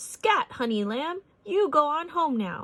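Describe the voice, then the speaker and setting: Putting on a shrill character voice, a woman speaks fairly slowly at a high pitch with very wide pitch swings. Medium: read story. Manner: excitable, shrill.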